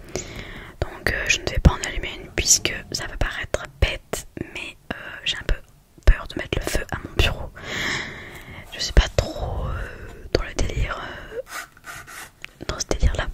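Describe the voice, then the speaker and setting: A woman whispers at a very slow pace, with long, frequent pauses and big swings in loudness. Noticeable background noise sits behind her. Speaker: ASMR content creator. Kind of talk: casual talk to camera, ASMR video. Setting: home desk recording with USB microphone.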